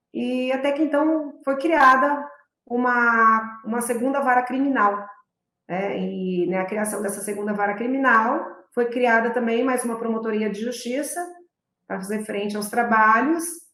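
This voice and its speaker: In a São Paulo interior accent, a woman speaks at a moderate pace and a high pitch with ordinary pitch variation, with audible room echo. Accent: São Paulo interior accent, rhotic r. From interior of São Paulo state, Presidente Prudente. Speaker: public prosecutor. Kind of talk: interview.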